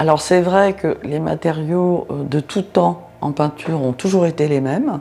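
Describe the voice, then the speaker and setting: There is noticeable background noise as a woman with a very deep, low voice speaks at a fairly slow pace. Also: ordinary pitch variation. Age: 60s. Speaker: art restorer. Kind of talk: interview testimony. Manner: hesitant, many fillers.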